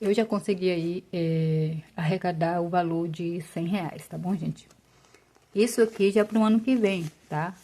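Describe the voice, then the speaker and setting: A woman talks at a fairly slow pace, her pitch fairly low with ordinary variation. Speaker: personal finance YouTuber. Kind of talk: tutorial. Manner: casual.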